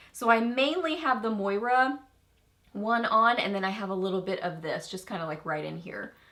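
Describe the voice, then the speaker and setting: Audible room echo surrounds a woman with a fairly high pitch whose lively intonation comes with big swings in loudness. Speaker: beauty YouTuber. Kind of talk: product review chat to camera. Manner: animated.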